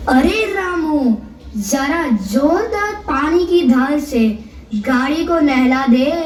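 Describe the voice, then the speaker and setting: A put-on character voice with a high pitch goes at a very slow pace, with a slight echo and clear background noise. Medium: stage play. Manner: brusque, dismissive.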